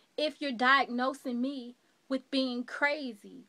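A woman speaks very slowly in a high, bright, sharp voice, raised and projected with an intense tone, against a quiet background. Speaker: actor performing a monologue. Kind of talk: dramatic monologue performance, in character as an accused woman addressing a doctor. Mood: defiant, questioning. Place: home room. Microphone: webcam.

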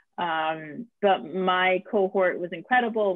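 A woman with an American accent, recorded dry with no echo over a quiet background. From Brooklyn, New York; New York. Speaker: film writer and director; guest. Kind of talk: interview. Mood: reflective, enthusiastic. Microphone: video call.

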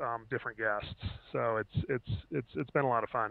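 A man's fairly even intonation in a dry sound with no echo. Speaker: guest. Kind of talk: interview answer. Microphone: headset.

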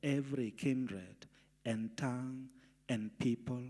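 Very slow speech over a quiet background. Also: man. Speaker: pastor. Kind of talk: scripture reading in a prayer service. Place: church. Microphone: handheld.

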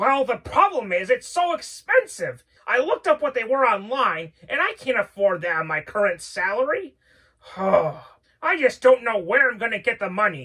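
A cartoonish character voice that sounds female, pitched high. The pace is moderate. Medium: puppet show. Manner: earnest, hesitant, lots of 'well'.

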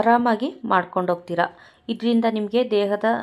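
Fairly even intonation from a woman, in a very clean recording with a silent background. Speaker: spiritual YouTuber teaching mantras. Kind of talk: instructional talk to camera. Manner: soft-spoken.

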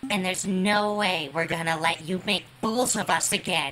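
A put-on character voice that sounds female, pitched in the medium range for a woman, moves at a moderate pace. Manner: grave, then conciliatory.

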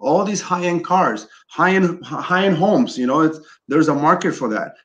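Man's high-pitched voice with lively intonation at a moderate pace. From Chile, moved to US as a child. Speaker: custom clothier and business owner. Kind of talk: interview conversation. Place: office. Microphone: video call.

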